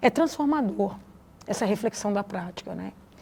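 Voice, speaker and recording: A woman speaks with a strong Minas Gerais accent on a very clean recording with a silent background. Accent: strong Minas Gerais (mineiro). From Brazil, Vale do Jequitinhonha, Minas Gerais. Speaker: educator and researcher. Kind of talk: interview. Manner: halting, many fillers and restarts.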